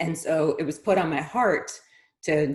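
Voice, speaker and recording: Speech comes at a fairly slow pace. There is some breathiness in the voice. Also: woman. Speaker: interview host. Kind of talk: introduction to camera.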